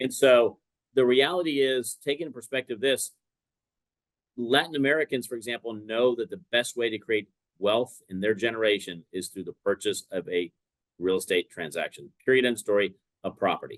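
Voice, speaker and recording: A man speaks at a moderate pace and a medium pitch, with lively intonation. The sound is dry and close, with no echo. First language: Spanish. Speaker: mortgage lender. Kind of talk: podcast interview. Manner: conversational, uses filler words.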